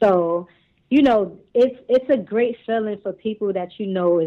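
A woman with a New York accent, at a moderate pace and with ordinary pitch variation. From Brooklyn, New York. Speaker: singer and cosmetics entrepreneur. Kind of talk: casual interview. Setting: phone call.

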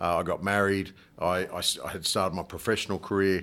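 A man with an Australian accent speaks at a fairly quick pace in a very deep, low voice with a bright, sharp tone, on a very clean recording with a silent background. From Australia, north coast of New South Wales. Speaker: rugby club president. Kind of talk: casual interview.

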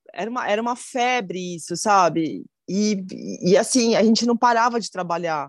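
A woman with an ordinary speaking voice, fairly high pitch and ordinary pitch variation. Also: moderate pace. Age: 40s. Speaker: chef. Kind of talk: casual interview.

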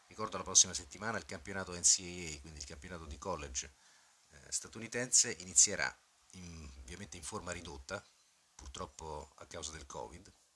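Bright and sharp in tone, a man speaks at a very deep, low pitch. His intonation is lively and his pace fairly quick. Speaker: podcast host and football club manager. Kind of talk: scripted podcast narration.

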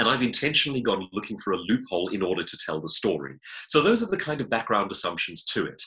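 A man with a South African accent talks at a very fast pace. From South Africa (Johannesburg). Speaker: author and public speaker. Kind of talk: interview.

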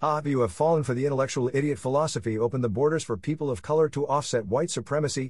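Over a quiet background, a man with a normal speaking voice talks at a medium pitch and a fairly quick pace. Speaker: podcast narrator. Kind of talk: scripted narration. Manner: formal.

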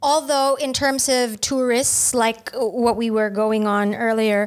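The recording is very clean, with a silent background. A woman speaks at a fairly high pitch. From Philippines. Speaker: overseas worker. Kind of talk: casual chat.

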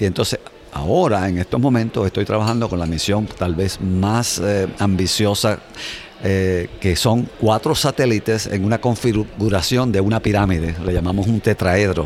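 A man's fairly low voice at a moderate pace, with ordinary pitch variation, very even loudness and noticeable background noise. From Puerto Rico. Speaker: space scientist. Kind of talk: interview. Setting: conference.

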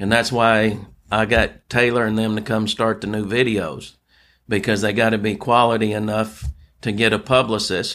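A man with a Louisiana accent speaks in a fairly low pitch with monotone, flat intonation, on a very clean recording with a silent background. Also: moderate pace. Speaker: founder of a nonprofit for veterans. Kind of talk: interview. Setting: hotel room.

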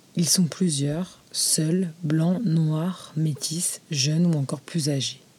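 Very slowly and at a very even loudness, a woman speaks in a very deep, low pitch with fairly even intonation against noticeable background noise. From France, Moroccan heritage. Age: 20s. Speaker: podcast host. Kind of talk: scripted narration.

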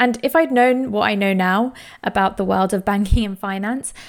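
Speaking in a London accent, a woman talks at a moderate pace and a fairly high pitch with ordinary pitch variation, in a very clean recording with a silent background. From East London. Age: 20s. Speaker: podcast host. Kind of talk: solo personal monologue.

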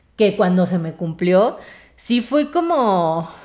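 The voice carries a Mexico City accent. Its intonation is lively. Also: woman. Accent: Mexican Spanish (Mexico City). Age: 20s. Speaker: podcast host. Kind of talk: solo casual monologue. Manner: chatty, many filler words.

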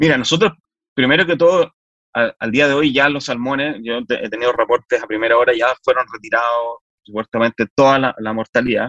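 A man with a Chilean accent has a bright, sharp tone and ordinary pitch variation. The sound is dry and close, with no echo. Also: medium pitch for a man, fairly quick pace. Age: 40s. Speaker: politician. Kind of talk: interview. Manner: halting.

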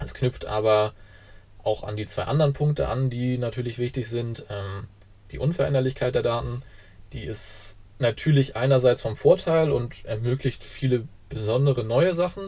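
A man of medium pitch, somewhat breathy and with a dark, mellow tone, speaks at a moderate pace with ordinary pitch variation and long, frequent pauses. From northern Germany, Kiel. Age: 20s. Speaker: university student and blockchain association board member. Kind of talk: explanatory interview.

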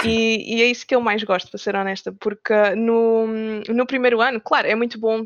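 Using an unremarkable speaking voice, a woman talks at a fairly quick pace with fairly high pitch and fairly even intonation. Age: 20s. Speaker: game developer. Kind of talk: interview.

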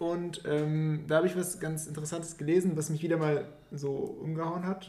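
Amid noticeable background noise and audible room echo, a man speaks in a high voice at a moderate pace with fairly even intonation. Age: 20s. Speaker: podcast co-host. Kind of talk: casual chat.

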